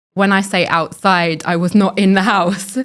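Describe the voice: At a moderate pace, a woman speaks with a fairly bright tone at medium pitch, her pitch moving little.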